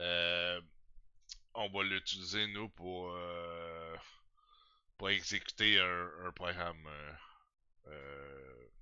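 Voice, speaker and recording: At a very slow pace, a man speaks with a very deep, low voice and fairly even intonation. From Quebec. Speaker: programming tutorial youtuber. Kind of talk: tutorial. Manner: hesitant, many fillers and repetitions.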